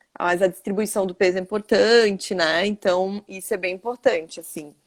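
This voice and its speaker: The woman's voice comes through with a dry, close sound and no echo. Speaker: endocrinologist. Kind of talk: interview. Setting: online live stream. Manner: fast.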